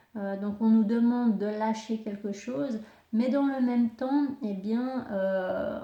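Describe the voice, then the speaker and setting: A very slow, fairly even delivery amid audible room echo and noticeable background noise. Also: woman. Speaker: astrology and tarot reader. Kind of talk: spiritual guidance talk. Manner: halting, many fillers.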